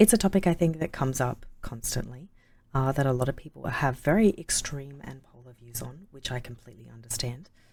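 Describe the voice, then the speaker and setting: The speaker uses vocal fry and lively intonation at a fairly quick pace, with big swings in loudness. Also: woman, very deep, low pitch for a woman. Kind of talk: casual talk to camera.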